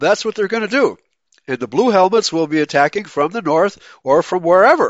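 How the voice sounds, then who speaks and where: A man's voice with ordinary pitch variation. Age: 70s. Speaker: pastor and internet radio host. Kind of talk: live radio talk and Bible commentary. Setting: live internet radio broadcast with chat room. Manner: halting, many fillers and restarts.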